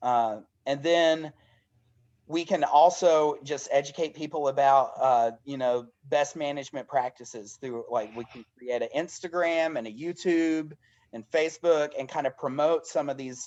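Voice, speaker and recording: A man with a Southern US accent and fairly high pitch, at a fairly slow pace with ordinary pitch variation and big swings in loudness, against a quiet background. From US South, Dade County, Georgia. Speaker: elementary school teacher and community organizer. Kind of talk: online information session presentation. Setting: video call. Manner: halting.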